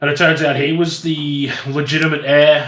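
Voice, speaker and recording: With an Australian accent, a man speaks in a fairly high pitch amid audible room echo. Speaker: YouTube content creator. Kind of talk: casual chat.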